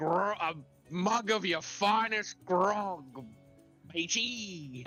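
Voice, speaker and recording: Faint music plays in the background as someone uses a put-on character voice at a middle pitch and a very slow pace. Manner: swaggering.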